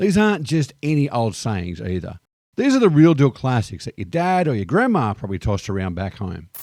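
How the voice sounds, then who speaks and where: A man with an Australian accent at a fairly quick pace, very wide pitch swings, on a very clean recording with a silent background. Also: medium pitch for a man. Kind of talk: casual talk to camera. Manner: upbeat, cheeky.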